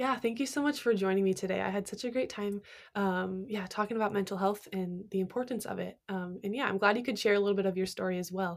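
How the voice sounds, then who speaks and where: A woman of medium pitch speaks very fast with hardly any pauses on a very clean recording with a silent background. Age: 20s. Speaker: podcast host and college student. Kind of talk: casual chat. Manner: animated.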